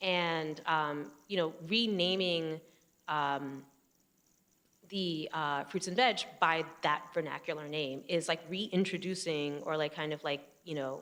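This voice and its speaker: A woman speaks with a New Jersey accent at a fairly low pitch. Her pace is very slow, with ordinary pitch variation. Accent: New Jersey American. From US, New Jersey. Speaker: photographer. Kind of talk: public conversation. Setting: stage with audience. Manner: halting, many fillers.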